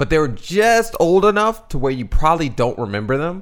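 Speaking at a moderate pace with a slight Southern US accent, a man lets his pitch swing very widely. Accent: slight Southern twang. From Bowie, Maryland (DC suburbs). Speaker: musician, podcast co-host. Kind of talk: casual chat.

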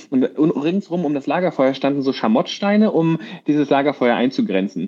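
An ordinary speaking voice moves at a fairly quick pace. The intonation is lively. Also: man. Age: 30s. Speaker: podcast co-host, actor. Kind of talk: casual chat.

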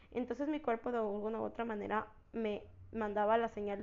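Her intonation is monotone and flat as this woman talks at a fairly quick pace and a medium pitch. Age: 20s. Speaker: podcast host, university student. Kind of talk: personal storytelling monologue. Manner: casual, hesitant with many fillers.

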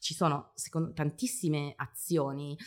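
Against a silent background in a very clean recording, a woman speaks with a very deep, low pitch. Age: 40s. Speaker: marketing professional and parenting influencer. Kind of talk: interview. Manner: talkative.

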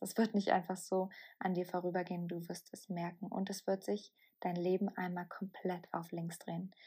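In a very clean recording with a silent background, a woman speaks at a moderate pace, somewhat breathy, with a dark, mellow tone. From southern Bavaria, Germany. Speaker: podcast host and mindset coach. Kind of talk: solo podcast monologue.

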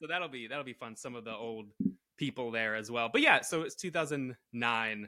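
With a normal speaking voice, a man with an American accent and medium pitch talks at a moderate pace, showing ordinary pitch variation and big swings in loudness. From Connecticut. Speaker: improviser and author. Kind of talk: casual chat.

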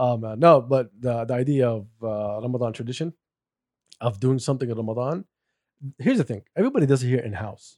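Talking at a very fast pace yet with long, frequent pauses, a man holds a medium pitch with ordinary pitch variation. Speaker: podcast host. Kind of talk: casual banter.

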